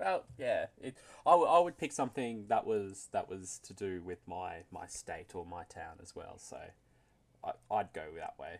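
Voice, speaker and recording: A man talks at a fairly slow pace, his loudness swinging widely. The recording is very clean, with a silent background. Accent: Australian. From Australia. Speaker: interviewer, league announcer. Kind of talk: casual interview.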